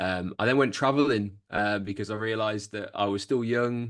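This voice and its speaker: A man at a very fast pace, fairly low in pitch, with monotone, flat intonation and a quiet background. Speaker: copywriter. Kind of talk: business presentation. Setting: video call. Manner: hesitant, many fillers.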